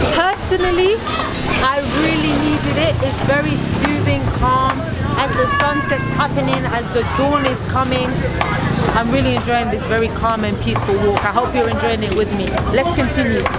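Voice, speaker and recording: Moderate pace over crowd noise in the background. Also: woman. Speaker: travel vlogger. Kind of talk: casual vlog chat. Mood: calm and content. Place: street. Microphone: camera far.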